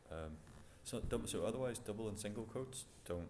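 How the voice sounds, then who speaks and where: A man speaks at a moderate pace in a dark, mellow tone, with audible room echo. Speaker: programming instructor. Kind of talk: lecture.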